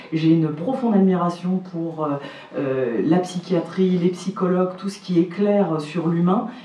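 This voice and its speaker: A woman speaks fairly slowly at a fairly low pitch with ordinary pitch variation. Noticeable background noise can be heard. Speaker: legal professional. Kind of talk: panel discussion.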